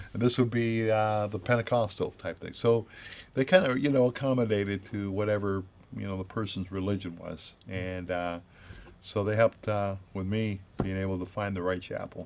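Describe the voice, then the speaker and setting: Fairly low in pitch, a man talks with a Midwestern American accent at a moderate pace. His intonation is fairly even. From Grand Rapids, Michigan. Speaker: retired Army chaplain, minister. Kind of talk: oral history interview answer. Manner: hesitant, conversational.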